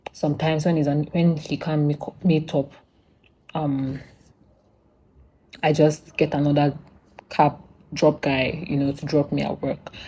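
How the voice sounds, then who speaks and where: At a fairly slow pace, a woman with a very deep, low pitch and a dark, mellow, somewhat breathy tone speaks in a monotone, flat intonation with long, frequent pauses. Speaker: vlogger. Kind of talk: casual storytelling vlog. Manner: halting.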